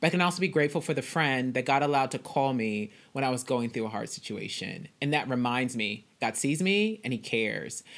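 A woman with an American accent speaks in a very deep, low voice with lively intonation, at a fairly quick pace and with hardly any pauses. The recording is very clean, with a silent background. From Texas (Dallas). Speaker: Bible teacher and author. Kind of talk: interview. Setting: call.

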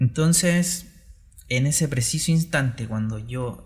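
Speaking at a very slow pace, a man with a medium-pitched, somewhat breathy voice uses ordinary pitch variation. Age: 30s. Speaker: entrepreneur and former math teacher. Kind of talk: solo podcast monologue. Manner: halting, with fillers.

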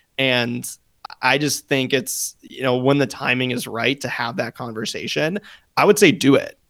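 Using a plain, everyday voice, a man at medium pitch keeps a moderate pace and ordinary pitch variation. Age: 20s. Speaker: podcast co-host. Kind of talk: casual chat.

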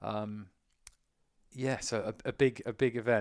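A man with a British accent speaks at a medium pitch. The recording is very clean, with a silent background. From UK. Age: 30s. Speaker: endurance swimmer and eco campaigner. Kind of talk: casual interview chat.

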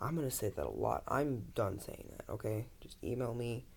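There is vocal fry in this man's voice, along with ordinary pitch variation. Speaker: podcast host. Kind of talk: casual solo podcast intro. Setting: bedroom, home recording. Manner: rambling, casual.

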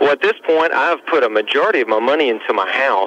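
Over noticeable background noise, a man talks. His pace is very fast. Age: 20s. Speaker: caller. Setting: phone call.

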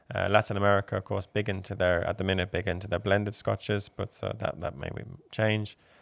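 In an Irish accent, a man with a fairly low pitch races along at a very fast pace in a monotone, flat delivery. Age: 20s. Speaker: whiskey ambassador. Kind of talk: casual interview.

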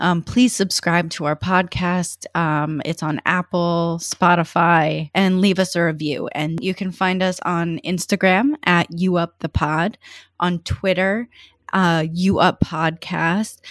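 A normal speaking voice with an American accent moves at a fairly slow pace and fairly even intonation, in a very clean recording with a silent background. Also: woman, fairly low pitch for a woman. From New York. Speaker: podcast host. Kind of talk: casual chat; show intro and outro.

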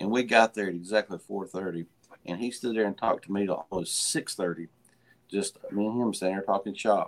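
Fairly even in intonation, the speaker has an Appalachian accent and a fairly quick pace. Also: man, fairly low pitch for a man. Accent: Appalachian Southern US. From western North Carolina (Hendersonville/Asheville). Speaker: moonshiner and master distiller. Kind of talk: casual interview chat. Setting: remote video call on a tablet.

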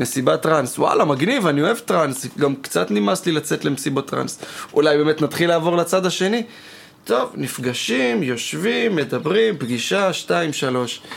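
Through noticeable background noise, a man speaks at a fairly high pitch and a moderate pace, with very wide pitch swings and very even loudness. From Yokneam, Israel. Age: 20s. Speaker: party producer and podcast host. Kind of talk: casual chat. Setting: studio.

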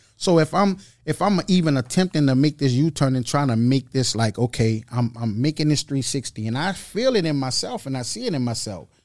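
Lively intonation and a fairly quick pace mark a normal speaking voice in a very clean recording with a silent background. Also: man, fairly high pitch for a man. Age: 40s. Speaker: spiritual mentor. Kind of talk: casual chat.

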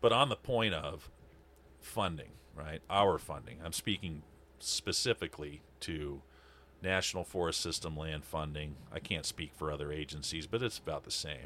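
On a very clean recording with a silent background, a man speaks with a very deep, low pitch and a bright, sharp tone. His intonation is lively, with vocal fry at a moderate pace. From Montana (Libby). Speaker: wildland fire manager. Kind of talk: casual chat.

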